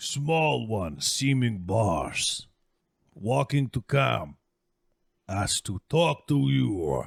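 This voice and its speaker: A man uses a put-on character voice at a fairly low pitch, with very wide pitch swings, a very slow pace and long, frequent pauses. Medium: actual play. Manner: broken, clipped speech.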